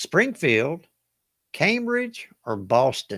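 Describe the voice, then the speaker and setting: In a Southern US accent, a man speaks at a very slow pace with very wide pitch swings, the sound dry and close with no echo. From US South. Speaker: trivia game show host. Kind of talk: live online trivia game hosting. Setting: livestream. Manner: casual, chatty.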